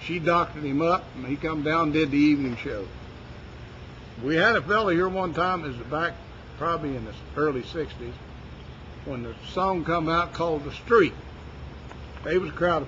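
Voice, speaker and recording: A man with an Appalachian accent speaks at a moderate pace in a fairly high pitch, with ordinary pitch variation, big swings in loudness, and long, frequent pauses. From West Virginia. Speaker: ranch worker. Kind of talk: interview answer.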